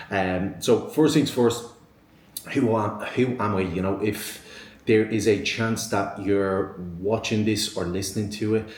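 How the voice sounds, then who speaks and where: a man with an Irish accent, fairly even in intonation, with audible room echo. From Ireland, Dublin. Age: 20s. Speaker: online fitness coach, podcast host. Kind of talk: solo podcast monologue. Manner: many filler ums and repetitions.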